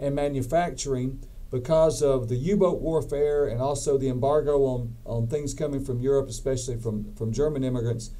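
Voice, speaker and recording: In a Southern US accent, a man speaks at a fairly quick pace with a fairly high pitch and ordinary pitch variation. His tone is dark and mellow, and audible room echo surrounds it. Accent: Southern US (Georgia). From US South, Georgia. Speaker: professor. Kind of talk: lecture. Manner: halting, with repeated words.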